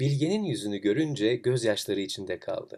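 A man talks at a moderate pace with fairly low pitch and a slightly mellow tone. His intonation is lively.

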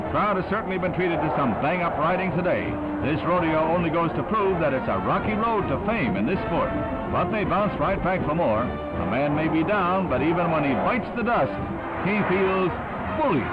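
A man at a moderate pace, with loud music in the background. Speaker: newsreel narrator. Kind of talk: 1960s newsreel narration. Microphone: old recording.

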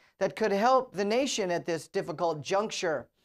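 A woman at a moderate pace, lively intonation over a quiet background. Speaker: news anchor. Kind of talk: news bulletin read. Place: studio.

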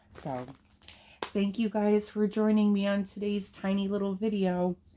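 A woman speaks at a moderate pace and a medium pitch, with noticeable background noise. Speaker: unboxing vlogger. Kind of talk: casual unboxing vlog. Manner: animated.

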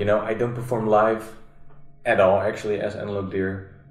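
Amid audible room echo, a man speaks at a moderate pace in a fairly low voice. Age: 30s. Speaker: musician; podcast guest. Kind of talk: casual chat. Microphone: camera far.

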